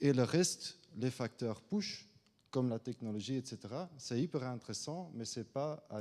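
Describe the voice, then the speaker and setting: A man with a non-native accent speaks at a fairly slow pace, his medium-pitched voice dark and mellow, with ordinary rises and falls. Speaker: government finance adviser. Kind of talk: conference talk. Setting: conference room with audience. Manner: halting, many hesitations.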